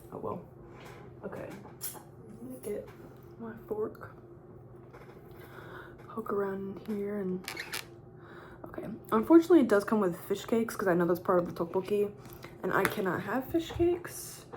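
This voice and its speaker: A soft-spoken woman talks at a medium pitch with very wide pitch swings. Her speech has long, frequent pauses. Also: moderate pace. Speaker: YouTuber. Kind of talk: casual mukbang talk to camera.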